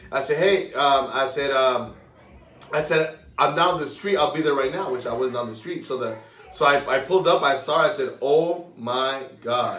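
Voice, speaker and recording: Amid noticeable background noise, a man speaks at a moderate pace in a fairly high pitch with ordinary pitch variation. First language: Spanish. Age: 20s. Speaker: guest, financial advisor. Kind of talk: casual interview chat. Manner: casual, repeats words, stutters.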